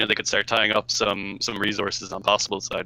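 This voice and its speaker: In an Irish accent, a man races at a very fast pace with a bright, sharp tone and a dry, close sound with no echo. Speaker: co-host game commentator. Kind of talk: live commentary. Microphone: crackly audio.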